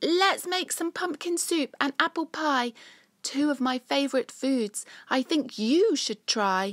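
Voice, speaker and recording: A woman uses a put-on character voice, raised and projected at a high pitch. She speaks at a fairly slow pace in a very clean recording with a silent background. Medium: read story.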